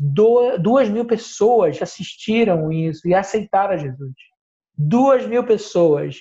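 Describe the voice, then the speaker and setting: Male voice of dark, mellow tone and ordinary pitch variation. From northern Brazil, Belém do Pará. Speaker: missionary. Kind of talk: interview. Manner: halting, with frequent fillers.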